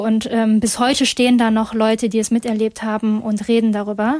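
Woman with a dark, mellow tone and fairly high pitch, monotone and flat in intonation, at a moderate pace. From Germany, Essen (Ruhr area), Chinese family. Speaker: campus radio host. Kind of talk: casual talk show discussion.

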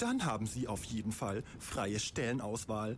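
A man with a medium-pitched voice speaks at a fairly slow pace and with fairly even intonation, over noticeable background noise. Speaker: storyteller. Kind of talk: bedtime story telling, a fairy tale with dark satirical twist. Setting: studio.

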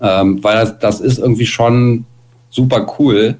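A man speaks at a medium pitch. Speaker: punk musician. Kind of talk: interview. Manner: loud.

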